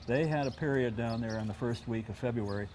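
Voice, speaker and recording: Over light background noise, a man with a dark, mellow tone talks at a fairly quick pace. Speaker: guest. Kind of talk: interview answer. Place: garden. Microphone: lapel.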